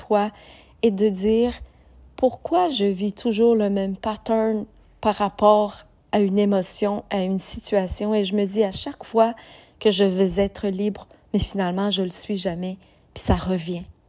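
This woman has a Quebec accent, a medium pitch, a dark, mellow tone and fairly even intonation. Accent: Québécois French. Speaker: podcast host, personal development coach. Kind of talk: motivational monologue. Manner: hesitant, many fillers.

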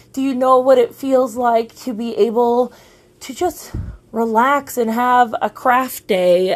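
The speech moves at a fairly slow pace with ordinary pitch variation and big swings in loudness. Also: woman. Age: 40s. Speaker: podcast host and business coach. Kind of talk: solo rant monologue. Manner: animated.

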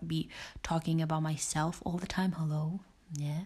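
A woman talks in a normal speaking voice with fairly low pitch. Her intonation stays fairly even. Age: 20s. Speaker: podcast host. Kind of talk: casual monologue.

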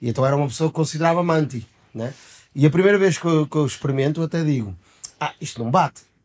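At a very fast pace, the pitch moves in an ordinary way. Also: man, fairly high pitch for a man. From Portugal. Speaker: podcast co-host. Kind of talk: casual chat.

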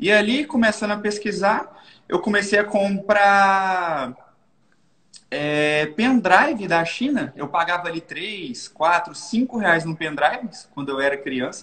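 A high-pitched man at a very slow pace with lively intonation. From Minas Gerais, Brazil (Governador Valadares). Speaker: digital marketing entrepreneur. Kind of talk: casual interview.

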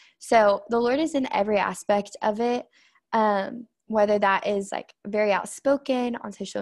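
The speaker has an American accent and an unremarkable speaking voice, with fairly even intonation at a fairly slow pace. The sound is dry and close with no echo, over a quiet background. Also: woman. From Oklahoma, Tulsa. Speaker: florist and student entrepreneur. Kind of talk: casual interview.

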